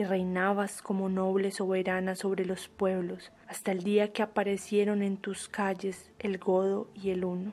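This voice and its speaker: Amid noticeable background noise, a woman with a medium pitch speaks at a fairly slow pace in a monotone, flat intonation. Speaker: audiobook narrator. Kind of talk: poetry reading.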